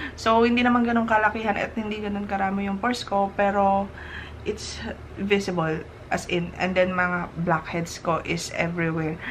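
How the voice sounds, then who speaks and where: Audible room echo surrounds a woman's medium-pitched voice. She talks at a moderate pace with fairly even intonation. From Philippines. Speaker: skincare vlogger. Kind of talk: product review. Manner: casual, chatty.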